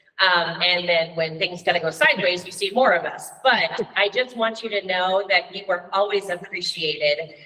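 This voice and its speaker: Over noticeable background noise, a woman with a medium pitch speaks at a moderate pace with hardly any pauses and ordinary pitch variation. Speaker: middle school teacher and coach. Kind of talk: formal address at a school board meeting. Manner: loud.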